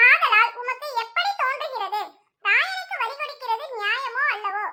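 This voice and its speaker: A woman speaks fairly slowly in an extremely high, squeaky voice with ordinary pitch variation. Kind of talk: Bible reading. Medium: read story. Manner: measured, formal, reverent.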